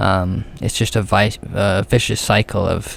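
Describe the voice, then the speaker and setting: A man with a fairly low pitch speaks at a very slow pace amid noticeable background noise. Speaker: podcaster sharing personal anxiety story. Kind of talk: personal monologue podcast. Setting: alone in a room. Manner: halting, many fillers and repetitions; voice cracking.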